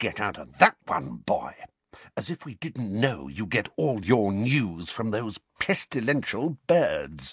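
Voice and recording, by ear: A man puts on a character voice, fairly low in pitch with big swings and a slightly husky edge. He goes at a slow pace, and the sound is dry and close with no echo.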